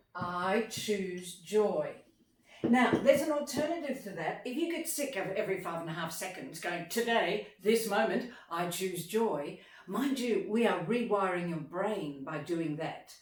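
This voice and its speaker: Speaking at a fairly slow pace, a woman with an Australian accent has a medium pitch and very wide pitch swings, heard over noticeable background noise with audible room echo. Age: 60s. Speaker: motivational speaker. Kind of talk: motivational talk. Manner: animated.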